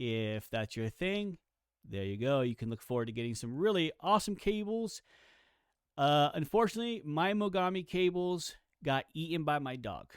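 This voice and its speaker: In a very clean recording with a silent background, a man with a fairly high voice speaks at a moderate pace, his pitch swinging very widely. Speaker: tech reviewer. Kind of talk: mic test and review. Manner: casual, many fillers.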